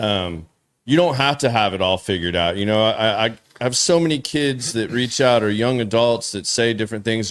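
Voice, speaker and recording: A man speaks with an American accent at a moderate pace. His is a plain, everyday voice with ordinary pitch variation. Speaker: podcast host. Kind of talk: casual chat.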